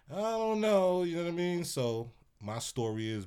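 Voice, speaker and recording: Dark and mellow in tone, a man speaks with lively intonation on a very clean recording with a silent background. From New York, Brooklyn (East Flatbush). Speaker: DJ. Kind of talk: casual chat.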